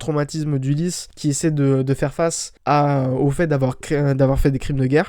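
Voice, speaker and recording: The recording is very clean, with a silent background. A man with a fairly high voice speaks in a flat monotone and a dark, mellow tone. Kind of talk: casual film analysis talk. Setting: home recording. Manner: stuttering, many hesitations.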